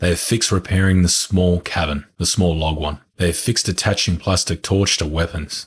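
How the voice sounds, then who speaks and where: A man's very deep, low, somewhat breathy voice with fairly even intonation at a moderate pace, in a very clean recording with a silent background. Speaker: gaming youtuber. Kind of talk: reading aloud.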